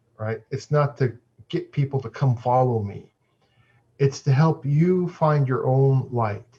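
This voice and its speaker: A man speaks at a fairly slow pace and a medium pitch. His voice is somewhat breathy, with fairly even intonation. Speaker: Buddhist monk and dharma teacher. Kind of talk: dharma talk. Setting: video call.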